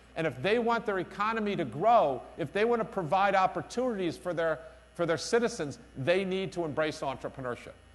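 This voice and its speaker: Loud and energetic, a man with a New York accent talks at a fairly quick pace in a high voice with lively intonation. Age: middle-aged. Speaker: business school director and keynote speaker. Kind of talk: conference keynote speech. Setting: stage with audience at conference. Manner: energetic, emphatic.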